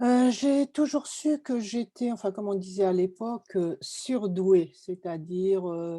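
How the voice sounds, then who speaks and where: A woman's dark, mellow tone at a fairly slow pace, ordinary pitch variation, the sound dry and close with no echo. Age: 60s. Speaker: interviewee sharing giftedness experience. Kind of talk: testimony.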